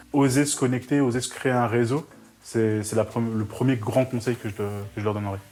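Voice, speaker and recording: Speaking with fairly even intonation, a man keeps to a moderate pace. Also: medium pitch for a man. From northern France, Roubaix. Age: 20s. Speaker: student and charity volunteer. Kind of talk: video interview testimony. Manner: hesitant, with fillers.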